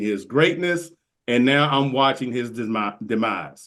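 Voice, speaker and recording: Against a quiet background, a man with an ordinary speaking voice talks at a fairly slow pace with lively intonation. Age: 60s. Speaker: golf podcaster. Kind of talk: casual chat. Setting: podcast recording.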